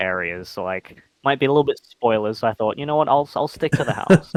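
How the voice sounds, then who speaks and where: In an Australian accent, a man with a fairly high voice talks with lively intonation, the sound dry and close with no echo. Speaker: online game player. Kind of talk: casual interview chat.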